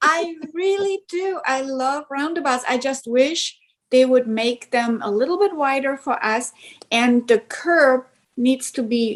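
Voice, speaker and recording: With a German accent, a woman speaks at a very slow pace in a high pitch with ordinary pitch variation. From East Germany. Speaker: truck driver. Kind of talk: interview.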